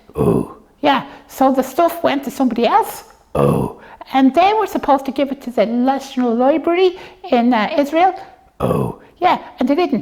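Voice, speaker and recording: A female-sounding cartoonish character voice sits at a high pitch. It moves at a moderate pace. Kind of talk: puppet show dialogue for kids. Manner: playful, chatty.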